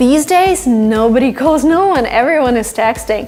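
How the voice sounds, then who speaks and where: A woman's high-pitched voice in a Russian accent, with noticeable background noise. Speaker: English teacher on video channel. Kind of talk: tutorial.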